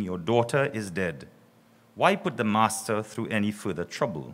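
In a plain, everyday voice, a man talks at a fairly low pitch. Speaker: priest giving invocation. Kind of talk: scripture reading. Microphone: podium.

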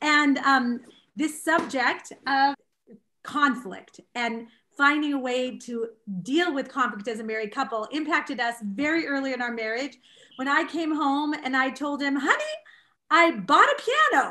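A raised, projected voice with a bright, sharp tone, a fairly slow pace and ordinary pitch variation. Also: woman. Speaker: speaker. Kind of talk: introduction with personal anecdote. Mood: cheerful, laughing. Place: home room. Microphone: webcam.

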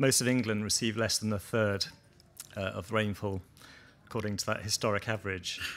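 A man's fairly low, monotone, flat voice at a fairly quick pace, broken by long, frequent pauses, over light background noise. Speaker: agroforestry researcher and session chair. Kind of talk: conference talk and moderating. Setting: conference session with audience. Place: tent.

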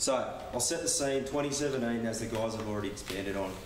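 With an Australian accent, a man speaks in fairly even intonation amid light background noise and audible room echo. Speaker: industry professional presenter; presenter. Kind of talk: business presentation. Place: meeting room. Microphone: camera far.

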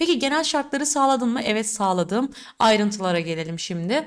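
A woman speaks in an animated tone at a fairly high pitch, with very wide pitch swings. The recording is very clean, with a silent background. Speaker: exam prep teacher. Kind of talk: tutorial.

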